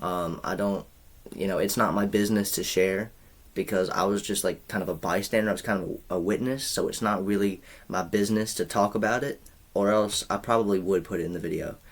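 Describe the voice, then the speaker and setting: The speaker is a man with a fairly low pitch. He moves through his words at a fairly quick pace. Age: 20s. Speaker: YouTuber. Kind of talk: storytime vlog. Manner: animated.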